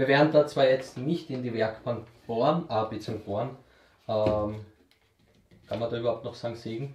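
A somewhat breathy man with an Austrian accent speaks at a moderate pace with fairly even intonation, long and frequent pauses, and big swings in loudness, with audible room echo and light background noise. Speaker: YouTube woodworking channel host. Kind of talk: casual Q&A chat. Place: workshop.

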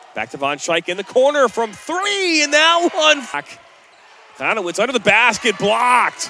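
A man speaks in a raised, projected voice at an extremely high pitch, with very wide pitch swings and a moderate pace. The sound is dry with no echo, over light background noise. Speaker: basketball play-by-play announcer. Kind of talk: live sports commentary, highlight-reel play-by-play. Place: stadium. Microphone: headset.

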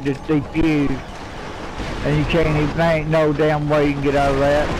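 The speaker talks at a fairly quick pace with a Southern US accent. There is noticeable background noise. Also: man. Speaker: online game player. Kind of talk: casual in-game voice chat. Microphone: headset.

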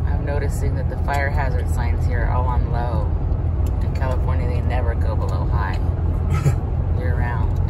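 The pace is moderate as a man speaks. Loud background noise runs underneath. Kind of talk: casual vlog chat. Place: car. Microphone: phone near.

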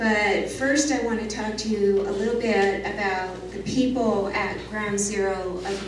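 Audible room echo and noticeable background noise surround a woman's voice. She keeps a fairly even intonation. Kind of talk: lecture. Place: hall.

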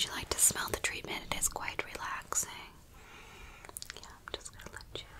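A woman is whispering. She keeps a moderate pace. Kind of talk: soft-spoken role-play. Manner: soft, hushed ASMR voice. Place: home room.

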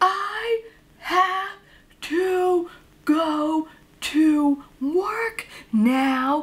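Loud and extremely high-pitched, this put-on character voice fills the clip. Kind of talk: casual vlog chat. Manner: very loud, over-enunciating.

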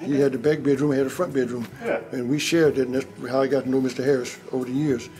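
Faint music sits in the background. The speech runs at a very fast pace with fairly even intonation. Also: man. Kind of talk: interview answer. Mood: fond, amused storytelling. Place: hall.

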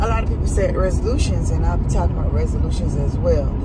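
A woman at a very fast pace, dry with no echo, under loud background noise. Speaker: vlogger. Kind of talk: casual vlog chat. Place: car. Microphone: phone near.

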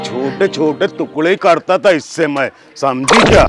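Clear music plays behind a man who speaks at a very slow pace. The sound is dry, with no echo. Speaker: comic character. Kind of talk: comedy sketch dialogue. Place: street.

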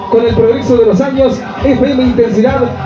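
Over clear music in the background, a man talks at a moderate pace with an extremely high pitch. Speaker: radio announcer. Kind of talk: radio broadcast read.

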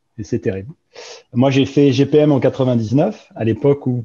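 A man's dark, mellow tone, somewhat breathy, with fairly even intonation. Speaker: investment director, engineer; panelist. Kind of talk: panel talk. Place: home room. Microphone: video call.

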